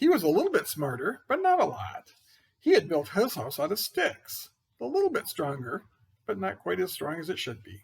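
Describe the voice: Doing a cartoonish character voice, a man speaks at a moderate pace in a high pitch with very wide pitch swings, a slightly husky edge and vocal fry.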